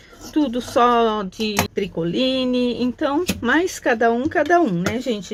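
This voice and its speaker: Over noticeable background noise, a woman talks with lively intonation at a fairly high pitch. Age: 60s. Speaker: craft teacher. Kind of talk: tutorial. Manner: casual, chatty.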